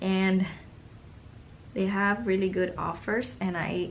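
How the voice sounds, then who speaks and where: Audible room echo colors the recording. A woman talks in it at a fairly slow pace. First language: not English. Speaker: art YouTuber and online art teacher. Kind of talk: casual product review while swatching paints. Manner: casual, meandering with fillers.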